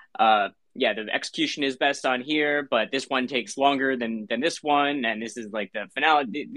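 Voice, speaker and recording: This is a man's voice at medium pitch. It has ordinary pitch variation. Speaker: co-host. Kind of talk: casual chat.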